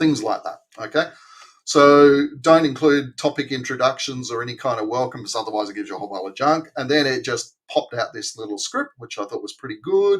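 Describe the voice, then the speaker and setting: A man with an Australian accent talks at a fairly quick pace, his loudness swinging widely. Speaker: AI video marketing presenter. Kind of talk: tutorial. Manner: casual, conversational.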